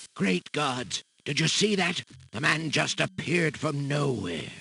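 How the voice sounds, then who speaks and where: A man speaks in a put-on character voice. His pitch sits fairly high, and his pace is fairly slow. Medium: video game. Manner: gruff, suspicious.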